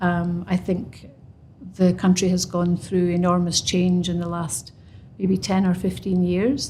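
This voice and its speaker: In a Scottish accent, a woman speaks at a fairly slow pace with fairly even intonation. Her fairly low voice is somewhat breathy, with a dark, mellow tone. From Scotland. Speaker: construction professional. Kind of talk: podcast interview. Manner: halting.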